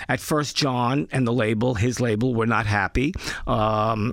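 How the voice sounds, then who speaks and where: This man has a strong New York accent and a medium pitch. He keeps a moderate pace on a very clean recording with a silent background. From Brooklyn, New York. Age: 60s. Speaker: former record label executive. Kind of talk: interview. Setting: studio.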